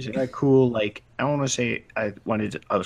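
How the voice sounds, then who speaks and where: An American accent from a man whose pitch varies in an ordinary way. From US, Baltimore. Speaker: live stream co-host. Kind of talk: casual chat.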